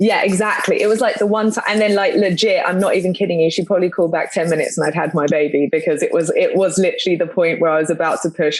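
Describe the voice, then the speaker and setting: Very fast speech with a London accent. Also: woman. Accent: London English, noticeable in US. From London, England. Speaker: podcast co-host, mother. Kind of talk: casual chat. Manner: rambling with many fillers and false starts.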